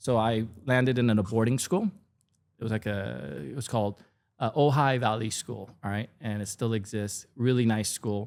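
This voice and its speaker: With ordinary pitch variation, a man holds a medium pitch and a moderate pace. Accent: Korean. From South Korea, moved to California at 13. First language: Korean. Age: 50s. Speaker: food content creator. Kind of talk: casual podcast interview.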